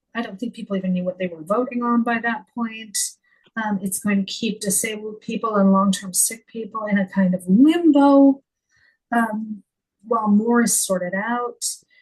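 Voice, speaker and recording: A woman with a Canadian accent, fairly high in pitch and somewhat breathy, at a moderate pace with ordinary pitch variation. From Canada. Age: 50s. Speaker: former editor and author. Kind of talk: podcast interview. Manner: halting.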